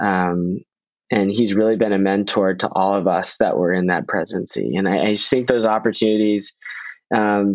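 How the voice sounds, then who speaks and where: An ordinary speaking voice from a man with an American accent, moderate in pace, with fairly even intonation. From Northern Virginia. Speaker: congressional staffer. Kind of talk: podcast interview.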